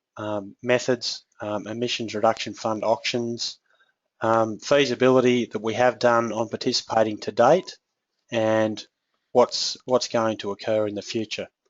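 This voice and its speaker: Here is a man with an Australian accent and a medium-pitched voice. He speaks in a monotone, flat way at a fairly slow pace. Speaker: agricultural technical specialist. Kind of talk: webinar presentation. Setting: online webinar.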